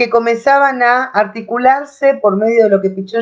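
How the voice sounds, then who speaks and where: A woman at a fairly high pitch, with ordinary pitch variation and a moderate pace. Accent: Rioplatense. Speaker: teacher. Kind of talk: lecture.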